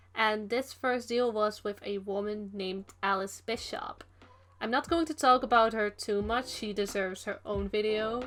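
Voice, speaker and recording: A woman with a Dutch accent talks at a moderate pace with fairly even intonation. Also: fairly high pitch for a woman. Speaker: digital artist and youtuber. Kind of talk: casual voice-over talk. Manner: casual, meandering.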